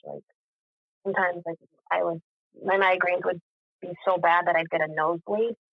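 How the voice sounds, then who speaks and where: A woman speaks with an American accent. Her pitch is fairly low. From Boston. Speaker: podcast guest. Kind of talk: testimony. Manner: halting.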